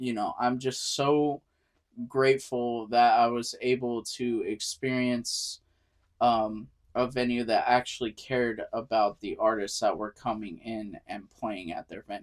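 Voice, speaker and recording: The recording is very clean with a silent background. A man at medium pitch talks at a fairly slow pace with fairly even intonation. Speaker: band vocalist and sound engineer. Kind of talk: casual chat. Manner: loud.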